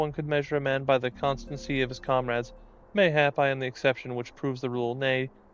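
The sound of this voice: Intonation stays fairly level as an unforced reading voice moves through the text.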